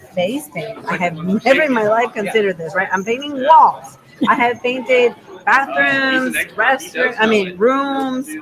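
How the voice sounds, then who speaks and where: Against noticeable background noise, a woman talks at a fairly slow pace in a high pitch. Her tone is animated, with very wide pitch swings. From Venezuela. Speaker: makeup artist. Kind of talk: casual interview.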